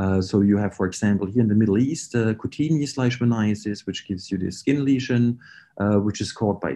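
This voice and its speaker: Speaking at a very fast pace with a German accent, a man has a fairly low pitch and ordinary pitch variation. His tone is dark and mellow against a quiet background. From Germany. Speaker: research scientist. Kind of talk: lecture. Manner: hesitant, many fillers.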